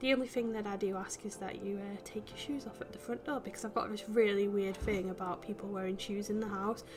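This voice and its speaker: With an English accent and medium pitch, a woman rushes along at a very fast pace with hardly any pauses and ordinary pitch variation, over noticeable background noise. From UK. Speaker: gaming YouTuber. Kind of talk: casual commentary over a game build. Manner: chatty, hesitant with many fillers.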